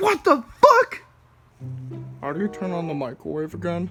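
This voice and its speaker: A cartoonish character voice speaks at a moderate pace. Faint music plays in the background. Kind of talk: comedic puppet skit. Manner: whiny, melodramatic.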